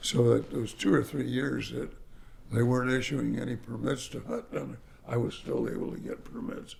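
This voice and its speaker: A man with an American accent at a moderate pace, in audible room echo. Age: 80s+. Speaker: real estate developer. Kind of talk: interview storytelling. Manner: halting.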